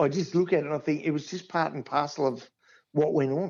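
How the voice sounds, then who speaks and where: With an Australian accent, a man talks at a fairly quick pace. His pitch is fairly high. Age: 60s. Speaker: football club groundskeeper. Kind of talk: casual interview chat.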